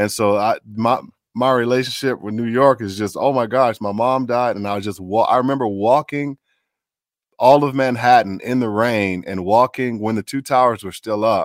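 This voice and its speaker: Here is a plain, everyday voice with an American accent, moving at a moderate pace. The intonation stays fairly even, and the sound is dry and close, with no echo. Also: man, medium pitch for a man. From Chicago. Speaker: voice actor. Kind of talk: interview. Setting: video call.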